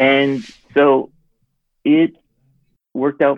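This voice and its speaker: A man is talking. His accent is American. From US Northeast, Connecticut. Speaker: sitcom writer. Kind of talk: interview.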